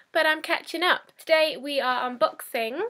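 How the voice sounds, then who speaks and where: A woman with a high pitch uses a raised, projected voice and lively intonation. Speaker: unboxing youtuber. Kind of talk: casual vlog. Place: home room. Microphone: webcam.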